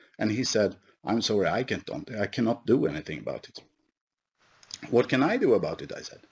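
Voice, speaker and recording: A man speaks with a Swedish accent and lively intonation. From Sweden. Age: 50s. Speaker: company executive; presenter. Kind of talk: conference presentation. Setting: online webinar. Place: office. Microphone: headset.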